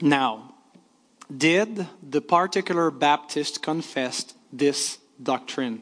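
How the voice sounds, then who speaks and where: Speaking very slowly with a French accent, a man uses a fairly high pitch and ordinary pitch variation. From Quebec, Canada. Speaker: pastor. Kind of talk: lecture. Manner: halting.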